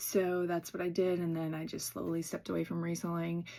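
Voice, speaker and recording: A woman with a normal speaking voice, fairly low in pitch, at a fairly quick pace. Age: 40s. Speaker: YouTuber, former reseller. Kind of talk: casual vlog chat. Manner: conversational with frequent fillers.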